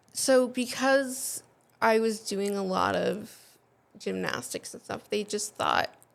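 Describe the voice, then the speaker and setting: A woman with a slight New England accent. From New England, US (New Hampshire). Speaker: patient sharing her illness story. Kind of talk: interview testimony.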